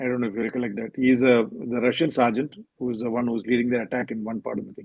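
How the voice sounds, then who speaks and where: A man with a Keralan accent speaks at a very fast pace. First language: Malayalam. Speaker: novelist. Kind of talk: interview. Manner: hesitant, with fillers.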